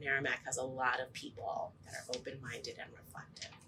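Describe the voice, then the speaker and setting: At a moderate speed, a woman is talking. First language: Spanish. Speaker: teacher. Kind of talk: interview. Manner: hesitant, with frequent ums.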